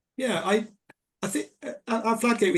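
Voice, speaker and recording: A man speaks with a British accent and ordinary pitch variation. His voice is somewhat breathy. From England. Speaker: lawyer. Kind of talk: panel discussion. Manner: halting.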